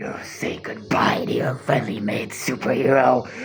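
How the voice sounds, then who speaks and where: Putting on a character voice, a man talks in a raspy, medium-pitched tone. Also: moderate pace. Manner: evil, villainous narration.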